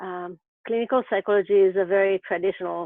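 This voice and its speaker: With a French accent, a woman talks at a fairly quick pace. Her pitch sits in the medium range. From France, Paris. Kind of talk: webinar presentation. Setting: live webinar.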